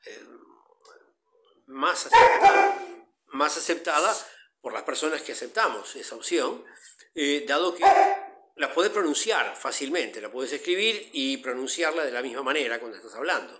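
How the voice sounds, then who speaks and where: At a moderate pace, a man talks with long, frequent pauses and big swings in loudness. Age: 60s. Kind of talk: interview.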